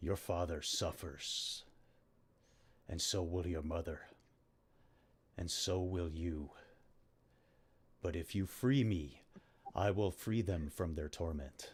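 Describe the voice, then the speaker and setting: A man's put-on character voice, very deep and low, at a fairly slow pace with long, frequent pauses. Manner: menacing, tempting.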